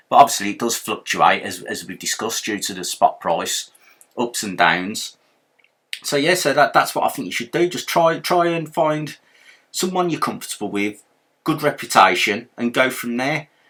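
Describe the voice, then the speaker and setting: In a Birmingham accent, a man speaks at a moderate pace in a fairly high pitch with a bright, sharp tone and vocal fry, very wide pitch swings and big swings in loudness, on a very clean recording with a silent background. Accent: Brummie. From Birmingham, England. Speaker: silver pouring hobbyist youtuber. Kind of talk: tutorial. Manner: casual, repetitive with false starts.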